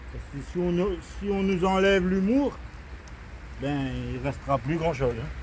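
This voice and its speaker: A man at a moderate pace with long, frequent pauses and audible room echo. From Réunion. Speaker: gardening YouTuber. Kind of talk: casual vlog chat. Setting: outdoors in vegetable garden. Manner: jovial, chatty.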